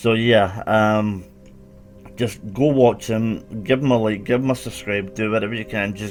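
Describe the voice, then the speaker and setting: A fairly low-pitched man with a Scottish accent, at a moderate pace, with ordinary pitch variation and music in the background. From Scotland. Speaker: animal welfare YouTuber. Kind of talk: casual commentary video.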